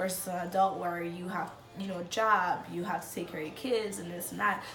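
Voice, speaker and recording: Fairly low-pitched female speech at a fairly quick pace, ordinary pitch variation, noticeable background noise. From Dominican Republic. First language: Spanish. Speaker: immigrant. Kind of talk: interview answer. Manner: casual, hesitant.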